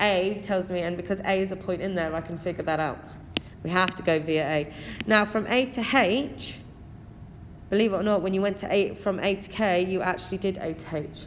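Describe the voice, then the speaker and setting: In an English accent, a woman speaks at medium pitch and a fairly quick pace with ordinary pitch variation, amid noticeable background noise. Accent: English accent (self-described). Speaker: maths teacher. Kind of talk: exam walkthrough tutorial. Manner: conversational, addresses students directly.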